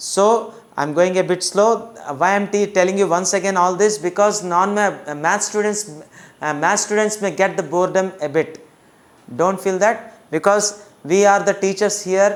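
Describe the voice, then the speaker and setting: Someone with an Indian accent speaks over noticeable background noise. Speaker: maths teacher. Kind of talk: lecture. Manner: slow; halting.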